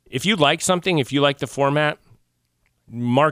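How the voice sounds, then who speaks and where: A plain, everyday voice at a moderate pace, on a very clean recording with a silent background. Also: man. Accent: American. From Idaho. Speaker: art licensing businessman and podcast producer. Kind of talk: casual chat. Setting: studio.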